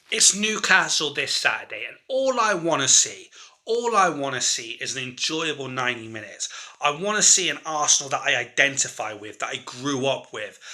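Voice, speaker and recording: Here a man talks with a fairly high pitch and very wide pitch swings. His loudness swings a lot too. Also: moderate pace. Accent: southern English. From southern England, Dorset near Bournemouth. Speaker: football fan vlogger. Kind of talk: opinion rant video. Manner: animated.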